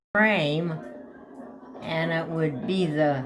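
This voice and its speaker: Against noticeable background noise, a woman speaks at a very slow pace with a fairly low pitch and ordinary pitch variation. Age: 80s+. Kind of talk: interview answer.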